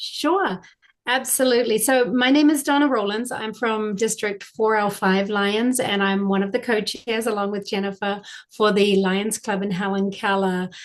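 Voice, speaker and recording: With a slight New Zealand accent, a woman of fairly high pitch talks at a moderate pace with ordinary pitch variation. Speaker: service club co-chair. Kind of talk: presentation.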